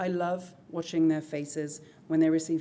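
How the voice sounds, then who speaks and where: In a British accent, a woman speaks with a very deep, low pitch and a dark, mellow tone. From Britain. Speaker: high school English teacher. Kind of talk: presentation to school board. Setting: school board meeting. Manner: formal.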